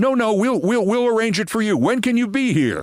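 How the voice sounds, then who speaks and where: A man puts on a character voice with a European accent, pitched high for a man. He moves at a fairly quick pace with ordinary pitch variation. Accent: thick European. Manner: casual, accommodating, repeating words.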